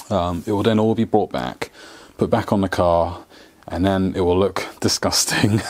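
With a very deep, low pitch, a man talks at a fairly slow pace and keeps his intonation fairly even. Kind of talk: casual vlog chat. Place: garage. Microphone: lapel.

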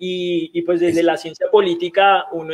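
Fairly even intonation at a moderate pace. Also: man. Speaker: online talk show host. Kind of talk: interview. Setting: video call. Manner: halting.

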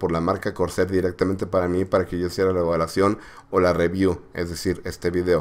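A man at a fairly quick pace. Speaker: tech reviewer. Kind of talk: product review tutorial. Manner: halting with fillers.

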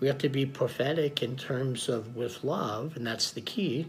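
A man speaks at a fairly slow pace with ordinary pitch variation. Faint music plays in the background. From United States (Oklahoma). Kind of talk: Sunday homily / sermon. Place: home room. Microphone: phone near.

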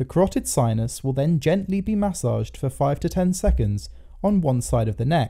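Male speech at a moderate pace over background music. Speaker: doctor, medical educator. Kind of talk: educational medical explainer narration.

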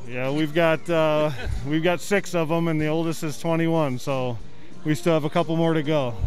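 At a moderate pace, the voice sounds dry with no echo, and faint music plays in the background. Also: man, fairly high pitch for a man. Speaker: public address announcer. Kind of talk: interview answer. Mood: friendly, upbeat. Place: hall. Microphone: handheld.

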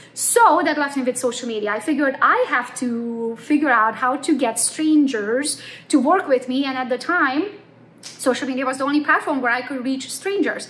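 In a Romanian accent, a woman talks with a high pitch and ordinary pitch variation. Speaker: real estate agent; presenter. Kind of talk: conference talk. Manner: fast. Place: home room. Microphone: phone near.

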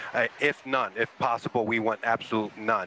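Against light background noise, a man speaks at a moderate pace with a bright, sharp tone. The sound is dry with no echo. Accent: American. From Texas (Houston); Texas. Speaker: ROV pilot. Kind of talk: casual chat. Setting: video call. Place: boat.

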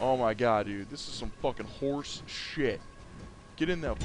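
A man talks at a fairly slow pace. Noticeable background noise is present throughout. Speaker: gaming YouTuber. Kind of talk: angry rant while gaming. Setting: gameplay commentary recorded at computer. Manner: animated, laughs often, sarcastic commentary.

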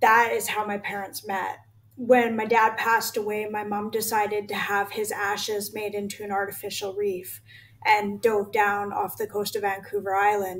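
A woman talks at a moderate pace with a flat, monotone intonation. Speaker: guest. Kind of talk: interview answer. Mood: earnest, a little emotional. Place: home room.

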